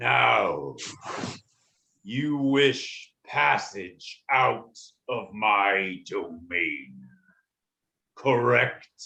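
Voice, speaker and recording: A put-on character voice at a low-to-middle pitch crawls along at a very slow pace, broken by long, frequent pauses. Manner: formal, imperious.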